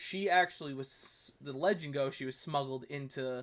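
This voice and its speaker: With a New York accent, a man talks at a moderate pace in a fairly high pitch. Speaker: history YouTuber reviewing videos. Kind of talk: casual commentary review. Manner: hesitant, many fillers.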